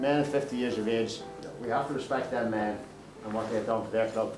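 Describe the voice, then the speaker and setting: Amid noticeable background noise and audible room echo, a man with a Northern Irish accent talks at a very fast pace with ordinary pitch variation. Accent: South Armagh Northern Irish. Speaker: Gaelic football manager. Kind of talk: casual chat; team talk.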